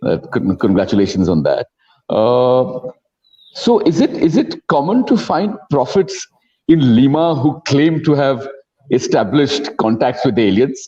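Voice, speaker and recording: Speaking at a fairly slow pace, a man has a fairly high pitch and very wide pitch swings. There is vocal fry in his voice. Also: very even loudness. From India. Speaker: film festival moderator. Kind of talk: Q&A interview.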